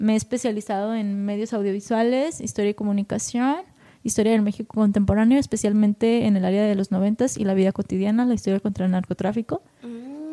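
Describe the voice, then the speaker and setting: A woman's fairly high, dark, mellow voice at a very fast pace with fairly even intonation, dry and close with no echo. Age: 20s. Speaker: poet. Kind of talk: casual chat. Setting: cultural venue.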